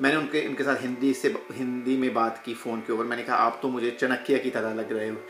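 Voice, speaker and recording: A man with a Punjabi accent speaks over music in the background. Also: medium pitch for a man, ordinary pitch variation, moderate pace, hardly any pauses. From UK. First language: Punjabi (speaking Hindi). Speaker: yoga teacher. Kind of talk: casual personal talk to camera. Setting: at home.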